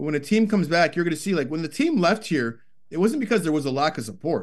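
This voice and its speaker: A man talks very fast with lively intonation at a fairly high pitch. The background is quiet. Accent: Toronto. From Canada, Scarborough, Toronto. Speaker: hockey analyst and former player. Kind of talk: casual interview.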